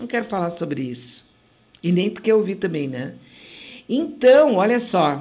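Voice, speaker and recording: A woman with a dark, mellow tone and vocal fry speaks at medium pitch and a fairly slow pace, her pitch swinging very widely, with long, frequent pauses and audible room echo. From Rio Grande do Sul, Brazil. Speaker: web radio host. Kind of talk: casual radio talk and commentary. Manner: animated.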